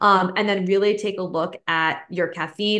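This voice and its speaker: An unremarkable speaking voice from a woman, medium in pitch with ordinary pitch variation. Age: 30s. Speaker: holistic nutritionist. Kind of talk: casual interview.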